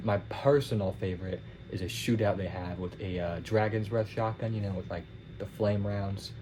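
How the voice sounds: Fairly low in pitch and nasal, a man speaks with fairly even intonation. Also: moderate pace.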